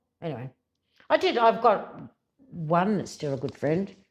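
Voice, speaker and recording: A woman speaks in an Australian accent at a moderate pace. Her pitch swings very widely. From South Australia, Adelaide Hills. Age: 60s. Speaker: rural radio journalist. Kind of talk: casual interview chat.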